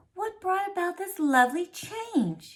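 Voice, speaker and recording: In a put-on character voice, a woman speaks squeaky and extremely high with a gentle, warm tone, lively intonation and a fairly slow pace. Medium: read story.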